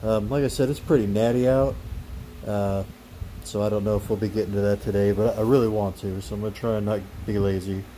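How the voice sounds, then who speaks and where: At a very fast pace, a man speaks in a fairly low voice with ordinary pitch variation. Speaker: car enthusiast youtuber. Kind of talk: tutorial. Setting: outdoors. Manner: casual; loud, talking over fan.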